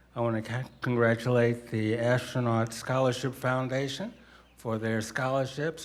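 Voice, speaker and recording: A man talks at a medium pitch in an unremarkable speaking voice. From US Northeast, inner-city Philadelphia. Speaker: astronaut, hall of fame inductee. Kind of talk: acceptance speech.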